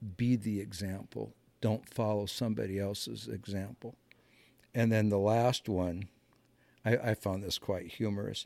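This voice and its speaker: Using a Midwestern American accent, a man with a dark, mellow tone and fairly low pitch talks at a moderate pace with fairly even intonation and long, frequent pauses. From US Midwest (Muscatine, Iowa). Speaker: navy veteran, horse trainer. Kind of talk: casual interview.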